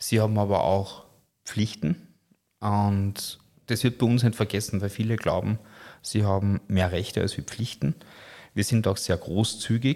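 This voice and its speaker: A man's fairly low voice at a fairly slow pace, with ordinary pitch variation and long, frequent pauses, on a very clean recording with a silent background. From Lower Austria, Austria. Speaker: top chef and restaurateur. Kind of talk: interview.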